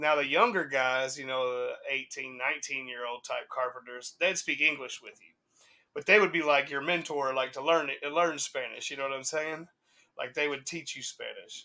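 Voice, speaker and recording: Speaking in a Southern US accent, a man talks at a moderate pace with a bright, sharp tone, a fairly high pitch and big swings in loudness. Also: ordinary pitch variation. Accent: Southern US, country. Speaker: hip hop podcast co-host. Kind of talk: casual chat. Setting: live stream.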